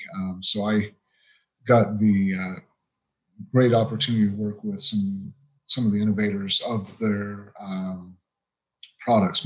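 Pitched fairly low, a man talks with an American accent. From Utah, US. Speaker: temperature metrologist. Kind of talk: interview.

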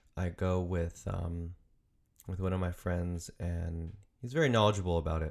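A man with a very deep, low pitch speaks at a moderate pace in a very clean recording with a silent background. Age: 20s. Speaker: podcast host and aspiring choreographer. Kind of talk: casual solo monologue. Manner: hesitant, many fillers.

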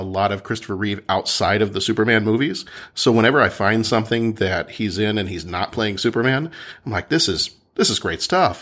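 In a very clean recording with a silent background, a man with an American accent uses a normal speaking voice, talking at a fairly quick pace with medium pitch and ordinary pitch variation. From Texas. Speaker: podcaster. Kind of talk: casual chat.

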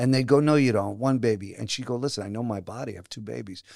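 The voice moves at a very fast pace with ordinary pitch variation. The recording is very clean, with a silent background. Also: man. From Brooklyn and New Jersey, US. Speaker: actor and playwright. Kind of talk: casual interview.

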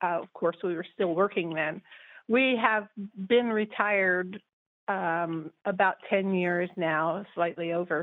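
A woman with an American accent at a very slow pace, medium in pitch, with ordinary pitch variation. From California. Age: 60s. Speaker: caller. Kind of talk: casual chat. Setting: phone call.

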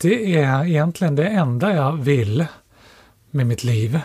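Somewhat breathy, a man speaks at a fairly slow pace with lively intonation on a very clean recording with a silent background. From Stockholm, Sweden. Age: 40s. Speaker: economics professor and author. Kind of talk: casual interview.

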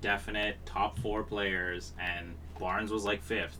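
A man with a Canadian accent speaks at a fairly low pitch in a bright, sharp tone, with audible room echo. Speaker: hockey podcast co-host. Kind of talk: casual chat. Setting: recorded in person together.

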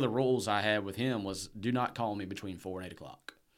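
With a Southern US accent, a man talks at a fairly quick pace in a fairly low voice with ordinary pitch variation. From Alabama. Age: 30s. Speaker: entrepreneur. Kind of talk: interview. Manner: casual.

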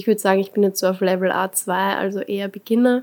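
A woman's medium-pitched voice, monotone and flat in intonation. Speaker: design student. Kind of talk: casual chat.

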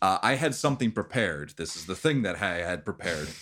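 A man speaks at a fairly low pitch. His voice swings very widely in pitch. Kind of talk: ghost story telling (tabletop game master narrating a dream). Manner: slow, hushed, atmospheric scene-setting.

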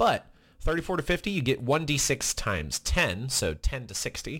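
Speaking at a moderate pace with vocal fry, a man is heard on a very clean recording with a silent background. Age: 20s. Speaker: podcast co-host. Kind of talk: casual chat.

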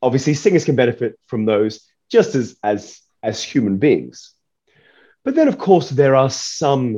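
A man with an Australian accent talks at a fairly slow pace, his tone dark and mellow. His intonation is lively, and the background is quiet. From Perth, Western Australia. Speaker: opera singer and nutritionist. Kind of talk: interview.

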